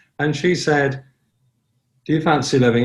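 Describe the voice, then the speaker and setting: Moderate pace, ordinary pitch variation and a somewhat breathy voice, in a very clean recording with a silent background. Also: man. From Ireland. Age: 70s. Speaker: sober community founder. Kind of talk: casual interview.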